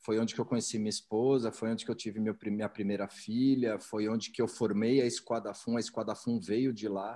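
Fairly quick and with hardly any pauses, a man speaks at medium pitch in a dark, mellow tone, his intonation monotone and flat. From São Paulo, Brazil. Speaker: entrepreneur. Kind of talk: interview.

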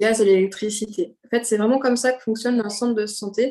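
A woman's voice with a dark, mellow tone and fairly even intonation. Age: 30s. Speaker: speech therapist. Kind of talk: casual interview.

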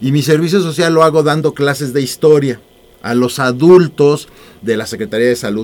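Talking at a fairly quick pace, a man with a normal speaking voice has a fairly high pitch. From Mexico, Mexico City. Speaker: author. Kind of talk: radio interview.

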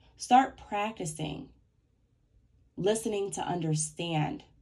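A woman speaks at a very slow pace in a medium pitch, her tone dark and mellow. Her somewhat breathy voice moves through very wide pitch swings. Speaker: podcast host. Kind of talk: motivational solo talk. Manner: less clear speech today.

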